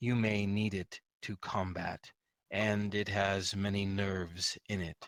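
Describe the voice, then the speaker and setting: A man puts on a raspy character voice, fairly low in pitch. He speaks very slowly. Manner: calm, matter-of-fact advisor.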